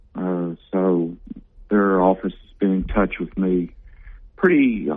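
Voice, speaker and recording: A man speaks with a Southern US accent in a very deep, low voice. His pace is fairly slow and his intonation fairly even. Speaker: city mayor. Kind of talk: interview. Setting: phone call.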